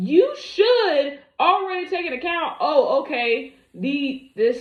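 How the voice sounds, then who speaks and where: A woman's voice with very wide pitch swings. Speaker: commentary video creator. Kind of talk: reaction commentary. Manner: animated.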